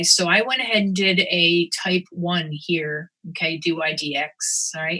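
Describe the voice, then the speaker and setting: A fairly low-pitched woman with ordinary pitch variation. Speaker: math instructor. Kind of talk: lecture. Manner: fast.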